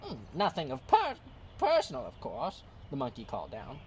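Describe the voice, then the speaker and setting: The speaker uses a put-on character voice at a moderate pace. Background noise is clearly heard. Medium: read story.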